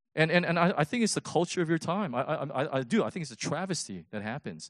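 This man talks at a very fast pace with lively intonation, vocal fry and fairly high pitch. The sound is dry and close with no echo, over a quiet background. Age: 50s. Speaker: pastor. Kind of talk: sermon. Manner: animated.

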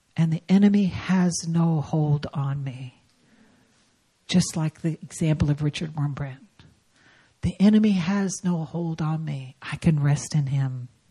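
A woman speaks with a very deep, low pitch and a dark, mellow tone that is somewhat breathy. Her pace is fairly slow, with ordinary pitch variation. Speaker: guest preacher. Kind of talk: sermon. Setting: church.

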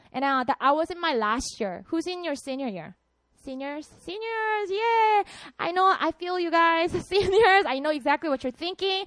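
With a Korean accent, a woman speaks at an extremely high pitch and moderate pace, her intonation lively and the sound dry and close with no echo. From South Korea, Busan. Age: 30s. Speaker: pastor. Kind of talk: sermon. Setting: stage with audience. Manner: animated.

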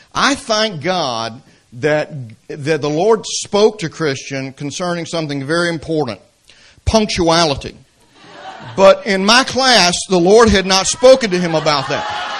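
This man has a Southern US accent and a high pitch, with very wide pitch swings. He speaks at a fairly slow pace. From Atlanta, Georgia, US South. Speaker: preacher and seminary professor. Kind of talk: sermon. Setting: church. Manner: humorous, conversational.

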